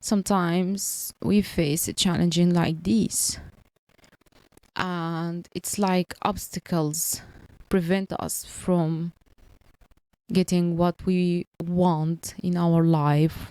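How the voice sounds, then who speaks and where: Speaking very slowly with long, frequent pauses, a woman with a non-native accent has a fairly low pitch and a dark, mellow tone. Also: dry, close sound with no echo. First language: not English. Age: 30s. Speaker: podcaster on language learning and career. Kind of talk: personal monologue. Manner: halting.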